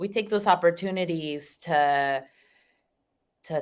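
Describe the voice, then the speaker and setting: A woman speaks very slowly in a Spanish accent, her intonation lively. The recording is very clean, with a silent background. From Argentina. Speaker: family therapist. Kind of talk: casual interview chat.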